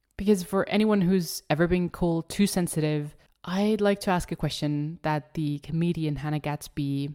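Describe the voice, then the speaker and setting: A woman speaks at a moderate pace with a slight Estonian accent and ordinary pitch variation. Her tone is dark and mellow, on a very clean recording with a silent background. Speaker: podcast host. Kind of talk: solo podcast monologue.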